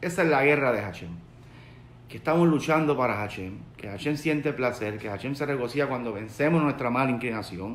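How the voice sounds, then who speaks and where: Through light background noise and audible room echo, a man with a Puerto Rican accent speaks at a fairly quick pace with ordinary pitch variation. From Puerto Rico. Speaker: rabbi. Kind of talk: sermon. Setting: live video stream, online. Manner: conversational, searching for words. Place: home room. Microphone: phone near.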